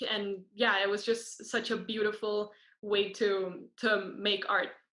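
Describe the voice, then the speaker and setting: A woman speaks with a Spanish accent. Her tone is bright and sharp. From Costa Rica. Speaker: student performer. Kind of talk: interview.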